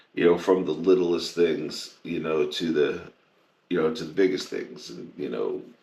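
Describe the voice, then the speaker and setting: A man's very deep, low voice with vocal fry, ordinary pitch variation and audible room echo. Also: moderate pace. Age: 60s. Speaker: podcast co-host in addiction recovery. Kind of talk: casual chat.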